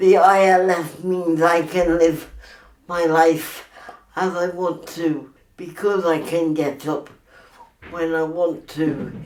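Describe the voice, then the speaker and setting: A woman's very slow, monotone, flat delivery with long, frequent pauses and audible room echo. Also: fairly low pitch for a woman. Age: 60s. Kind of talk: testimony.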